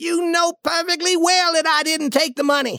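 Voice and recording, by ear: This is a put-on character voice with a bright, sharp tone. Its intonation stays fairly even. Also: moderate pace.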